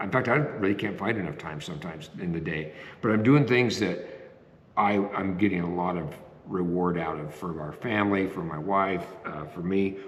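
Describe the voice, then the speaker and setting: A man talks at a moderate pace with a fairly low pitch. Room echo is audible. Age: 60s. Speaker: retiree vlogger. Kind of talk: casual talk to camera. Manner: halting, many fillers.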